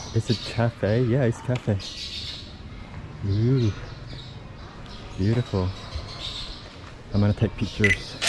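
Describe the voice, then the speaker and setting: Speaking very slowly at a medium pitch, a man keeps a very even loudness and fairly even intonation over noticeable background noise. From Laos, Luang Prabang. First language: Lao. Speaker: travel vlogger. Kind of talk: travel vlog narration. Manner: casual, hesitant.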